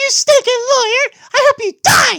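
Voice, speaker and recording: A female-sounding put-on character voice unfolds at a fairly slow pace. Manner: mocking, dramatic, villainous.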